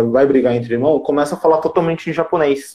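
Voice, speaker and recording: This is a man talking. His pitch is fairly high. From Japan (Brazilian community). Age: 20s. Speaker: digital marketer and live-stream host. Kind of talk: casual live-stream chat. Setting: live stream video call.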